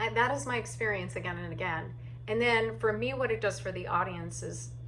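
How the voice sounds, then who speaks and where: A woman speaks at a fairly quick pace amid noticeable background noise and audible room echo. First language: deaf or hard of hearing; uses sign language. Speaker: solo theatre artist and actor. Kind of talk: casual talk giving tips. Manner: animated; halting with fillers.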